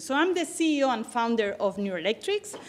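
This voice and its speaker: A woman with a Barcelona accent, at a fairly quick pace, over a quiet background. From Spain, Barcelona. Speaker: tech company CEO and founder. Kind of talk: conference talk.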